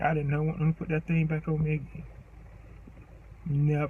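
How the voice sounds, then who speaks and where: There is noticeable background noise behind this man. His fairly high voice stays monotone, with flat intonation. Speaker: vlogger. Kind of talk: memorial tribute.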